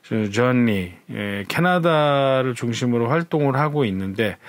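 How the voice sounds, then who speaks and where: Noticeable noise runs in the background. The talking goes fairly slowly. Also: man. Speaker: jazz radio host. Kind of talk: casual program preview talk. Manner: relaxed with frequent fillers.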